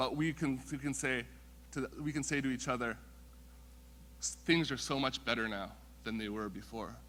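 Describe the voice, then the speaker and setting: A man with a Western Canadian accent speaks at a moderate pace, leaving long, frequent pauses. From Canada, Vancouver (Musqueam First Nation). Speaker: First Nations council member. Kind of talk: welcome speech.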